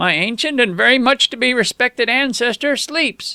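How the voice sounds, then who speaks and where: At a moderate pace, a man uses a shaky, put-on character voice pitched extremely high, recorded with a dry, close sound and no echo. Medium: read story. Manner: quavering, fearful.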